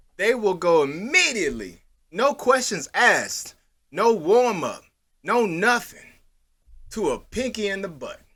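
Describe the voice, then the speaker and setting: A man speaks in an animated tone with a high, bright, sharp voice and lively intonation. His pace is fairly slow, broken by long, frequent pauses. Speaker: podcast co-host. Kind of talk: casual chat.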